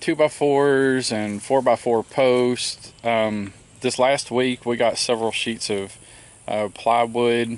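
The sound is dry with no echo. A man speaks at a very slow pace with ordinary pitch variation. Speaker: homestead vlogger. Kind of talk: casual vlog chat. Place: open country. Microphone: phone near.

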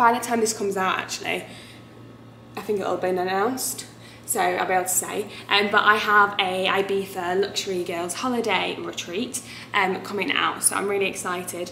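At a fairly quick pace, a woman speaks with fairly even intonation amid audible room echo and light background noise. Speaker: travel vlogger. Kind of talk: casual vlog chat. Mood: chatty, wincing at sunburn pain. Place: home room. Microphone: phone near.

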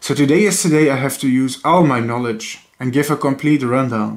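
This man, with a non-native accent, speaks at a moderate pace and medium pitch, using ordinary pitch variation. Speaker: educational YouTuber. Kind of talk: lecture. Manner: formal.

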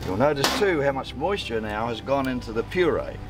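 A man at a moderate pace, dry sound with no echo, clear music in the background. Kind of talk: tutorial. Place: waterside.

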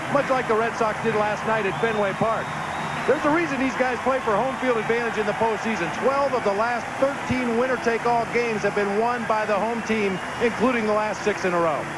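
A man speaks very fast at a high pitch, his loudness very even and his intonation fairly even. Loud background noise runs underneath. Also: dry sound with no echo. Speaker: field reporter. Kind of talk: live sports commentary. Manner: crisp, reporting. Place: stadium. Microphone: handheld.

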